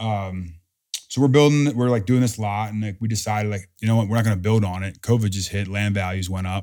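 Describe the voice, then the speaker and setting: A man's fairly low, dark, mellow voice at a fairly quick pace with fairly even intonation. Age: 30s. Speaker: NFL player. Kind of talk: casual chat. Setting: at home.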